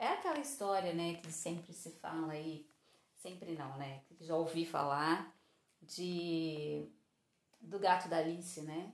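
A woman's fairly low, fairly even voice at a very slow pace, with big swings in loudness and audible room echo. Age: 40s. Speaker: podcast host. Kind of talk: casual monologue.

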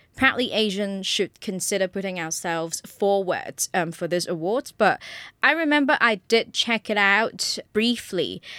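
In a very clean recording with a silent background and a dry, close sound with no echo, a woman with a British accent talks at a moderate pace, her tone bright and sharp and her intonation lively. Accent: British-sounding. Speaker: podcast host. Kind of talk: solo podcast monologue.

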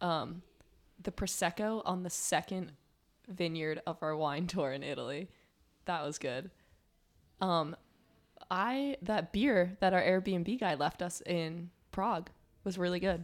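Someone with an American accent speaks at a fairly slow pace with ordinary pitch variation and long, frequent pauses in a very clean recording with a silent background. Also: woman, fairly low pitch for a woman. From New Jersey. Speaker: college student. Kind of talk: casual chat. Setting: studio.

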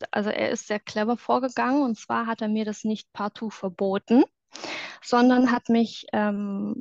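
Fairly high in pitch, a woman talks at a fairly slow pace with fairly even intonation. The sound is dry and close with no echo, over a quiet background. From southwestern Germany, near Stuttgart. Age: 30s. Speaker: former reality TV contestant. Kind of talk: testimony interview. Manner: hesitant, many filler sounds.

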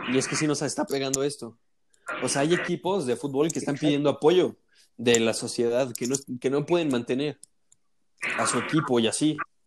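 A man with a Mexican accent talks at a fairly quick pace and fairly high pitch, with ordinary pitch variation and long, frequent pauses. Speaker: university student. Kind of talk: casual chat.

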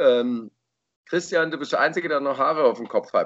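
A man talks at a fairly quick pace. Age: 40s. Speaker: podcast host. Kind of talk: casual chat.

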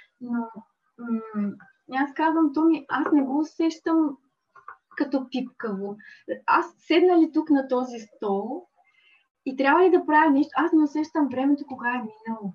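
A woman speaks in a high pitch with lively intonation. Her pace is fairly slow, with long, frequent pauses. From Bulgaria, Dobrich. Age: 40s. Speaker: accountant and small craft business owner. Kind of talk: interview.

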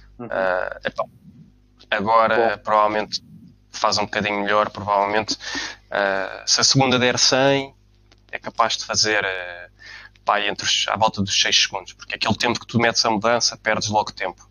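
A man's fairly low voice at a moderate pace. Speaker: car enthusiast. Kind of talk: casual chat.

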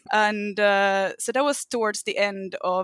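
Very slowly, a woman speaks in a Finnish accent. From Finland. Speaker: fan podcast guest. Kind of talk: casual chat. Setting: remote group call.

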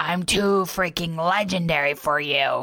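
Putting on a rumbling, raspy character voice, a woman speaks at a fairly slow pace. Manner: boastful.

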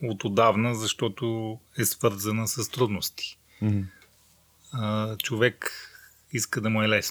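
A man with a medium pitch talks fairly slowly, his intonation fairly even. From Bulgaria, Rhodope mountains. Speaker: adventurer. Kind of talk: casual interview. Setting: unfinished attic in a village house. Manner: calm.

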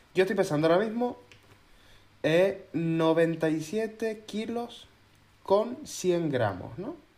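Speaking in a high voice with lively intonation, a man goes at a very slow pace with long, frequent pauses. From Canary Islands (Gran Canaria). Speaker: podcast co-host. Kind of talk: casual chat.

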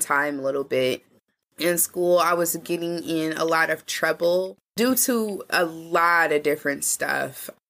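On a very clean recording with a silent background, a woman with an American accent talks at a fairly slow pace in a fairly low pitch with ordinary variation, her tone bright and sharp and her loudness very even. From Indianapolis, US Midwest. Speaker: journalist and community health worker. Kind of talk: casual interview conversation.

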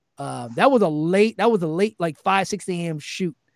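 Speaking at a fairly quick pace, a man uses lively intonation and a fairly high pitch in a plain, everyday voice. The sound is dry and close with no echo, in a very clean recording with a silent background. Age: 30s. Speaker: musician. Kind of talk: casual chat.

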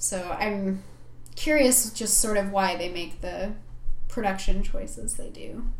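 A woman with an American accent speaks fairly slowly at a medium pitch with ordinary pitch variation, amid noticeable background noise and audible room echo. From Michigan, Upper Peninsula. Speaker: veterinarian and podcast co-host. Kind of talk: casual chat.

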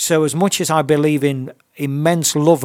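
With a dry, close sound and no echo, a man speaks at a fairly high pitch with an East Midlands accent. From Nottingham, England. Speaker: purpose mentor. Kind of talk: interview. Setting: radio studio.

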